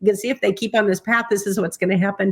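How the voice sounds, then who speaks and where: In an animated tone, a woman of medium pitch is heard on a very clean recording with a silent background. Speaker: psychic and aura expert. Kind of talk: interview.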